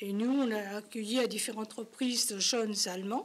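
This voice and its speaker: The woman's pitch varies in an ordinary way while she keeps a moderate pace. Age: 80s+. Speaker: community association member. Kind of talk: talk show interview.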